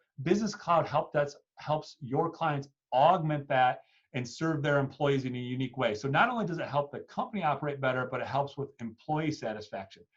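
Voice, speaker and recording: A man's fairly high, somewhat breathy voice at a fairly quick pace, ordinary pitch variation. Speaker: webinar presenter for technology partners. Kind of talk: sales webinar presentation. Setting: online webinar call. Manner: fast.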